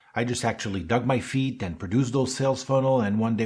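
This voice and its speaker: This man speaks with a slight French accent. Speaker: automotive marketing consultant. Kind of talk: podcast monologue.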